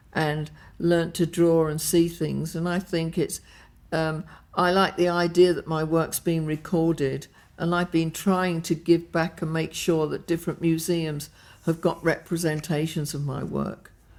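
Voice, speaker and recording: Fairly low-pitched woman with an English accent, monotone and flat, at a fairly slow pace, on a very clean recording with a silent background. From England. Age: 80s+. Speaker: fashion designer. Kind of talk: interview answer. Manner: exuberant, gregarious.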